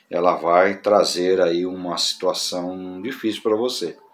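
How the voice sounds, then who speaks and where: A man speaks in a fairly low voice with fairly even intonation. Some room echo can be heard. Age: 60s. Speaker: pastor. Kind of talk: casual talk to camera on church topic. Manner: halting with fillers.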